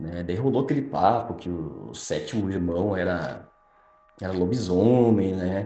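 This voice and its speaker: Audible room echo and noticeable background noise surround a man's fairly low voice. He speaks at a fairly slow pace with ordinary pitch variation. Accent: southern Brazilian. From Rio Grande do Sul, Brazil. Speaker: night security guard, listener. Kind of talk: recorded personal testimony.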